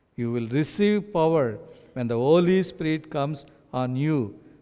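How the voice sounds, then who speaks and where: A man with an Indian accent speaks at a moderate pace against a quiet background. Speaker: pastor. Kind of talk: sermon. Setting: church. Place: church. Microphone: headset.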